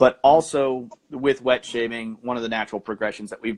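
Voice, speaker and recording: With fairly even intonation, a man at medium pitch speaks at a fairly quick pace. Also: dry, close sound with no echo. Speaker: podcaster. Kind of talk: casual chat. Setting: live stream. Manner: soft-spoken; soothing. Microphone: quiet, hard to hear.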